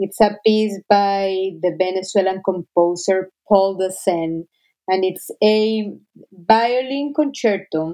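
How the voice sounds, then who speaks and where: The speaker has a Spanish accent and ordinary pitch variation. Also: woman. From Colombia, Cali. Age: 30s. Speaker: orchestra conductor. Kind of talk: interview.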